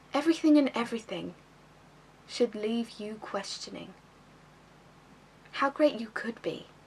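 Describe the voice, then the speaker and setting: Someone speaks at a fairly slow pace with long, frequent pauses and big swings in loudness, against noticeable background noise. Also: woman, fairly high pitch for a woman, ordinary pitch variation. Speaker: actress. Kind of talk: slam poetry performance.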